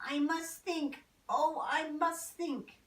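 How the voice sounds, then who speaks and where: This is a put-on character voice. It sounds female and extremely high in pitch. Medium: read story. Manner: gentle, fussing.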